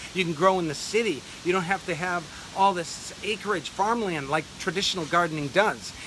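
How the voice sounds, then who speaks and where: Over noticeable background noise, a man with a high pitch and ordinary pitch variation talks at a fairly quick pace. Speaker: urban farming grower and channel host. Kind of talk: video monologue. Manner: fast.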